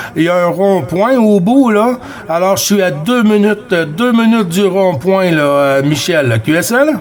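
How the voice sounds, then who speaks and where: Speaking fairly slowly with a high pitch and lively intonation, a man keeps his loudness very even amid audible room echo and noticeable background noise. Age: 50s. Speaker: CB radio operator. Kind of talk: radio chat. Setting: CB radio contact. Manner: hesitant, many fillers.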